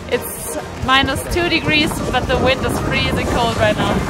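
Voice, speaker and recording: Over loud music in the background, a woman's voice comes through in a dry sound with no echo. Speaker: travel vlogger. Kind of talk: casual vlog chat. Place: open country. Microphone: phone near.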